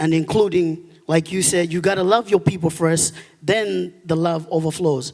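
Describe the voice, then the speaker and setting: This man talks with a Malawian accent. His pitch is high and his intonation fairly even. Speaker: audience member asking a question. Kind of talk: audience question at a lecture. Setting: auditorium with audience.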